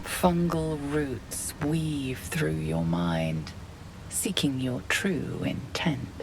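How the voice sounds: A woman's put-on character voice, extremely low, with big pitch swings at a very slow pace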